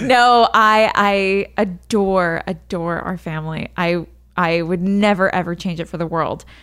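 A normal speaking voice. The pace is fairly slow and the intonation fairly even. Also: woman, medium pitch for a woman. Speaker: podcast co-host, expectant mother. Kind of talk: casual chat.

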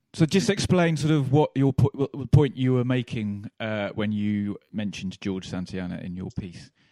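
A man with a normal speaking voice talks at a moderate pace and medium pitch, his intonation lively and his pauses few, in a dry, close sound with no echo. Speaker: podcast host. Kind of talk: casual banter while watching football.

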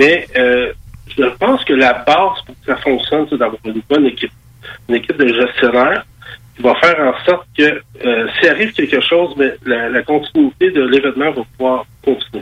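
A man with a plain, everyday voice talks in a fairly high pitch, with ordinary pitch variation. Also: moderate pace. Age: 50s. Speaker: MMA promoter. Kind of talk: radio interview.

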